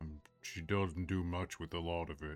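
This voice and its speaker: A man's put-on character voice, gruff and very deep and low, monotone and flat, at a moderate pace with faint music in the background. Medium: actual play. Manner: blunt, awkwardly earnest.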